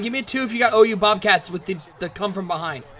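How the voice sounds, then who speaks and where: A man talks fairly quickly in a raised, projected voice with lively intonation. Noticeable background noise runs underneath. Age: 30s. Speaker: esports game commentator. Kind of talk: live commentary. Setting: live stream. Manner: animated.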